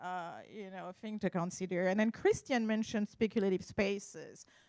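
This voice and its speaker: A woman with a French accent talks at a medium pitch with ordinary pitch variation, in a dry, close sound with no echo. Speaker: art appraiser. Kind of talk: conference talk. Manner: halting.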